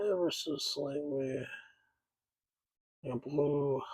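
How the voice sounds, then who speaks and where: A soft-spoken man with a fairly high pitch and fairly even intonation is heard with audible room echo. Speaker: miniature painting hobbyist. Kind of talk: casual tutorial narration. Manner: soft-spoken, quiet; halting.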